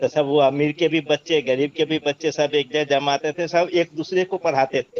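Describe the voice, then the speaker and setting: At a moderate pace, a man talks in a fairly high pitch with monotone, flat intonation. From Bihar, India. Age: 60s. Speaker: webinar participant. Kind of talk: online discussion.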